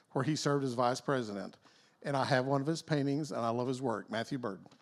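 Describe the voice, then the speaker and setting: A man speaks with a Texas accent. His pitch is fairly high, and the recording is very clean with a silent background. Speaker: event emcee. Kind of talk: reading aloud an artist introduction.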